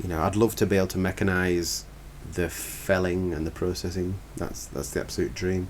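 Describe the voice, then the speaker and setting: Speaking at a moderate pace, a man with a Cumbrian accent has a very deep, low pitch. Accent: northern English (Cumbrian). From northern England, Lake District. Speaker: forestry contractor. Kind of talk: podcast interview. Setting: podcast recording.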